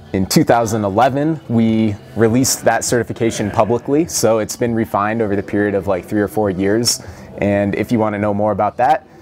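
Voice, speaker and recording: A plain, everyday voice moves at a fairly quick pace with ordinary pitch variation over light background noise. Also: man, fairly low pitch for a man. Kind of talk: interview answer. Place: gym.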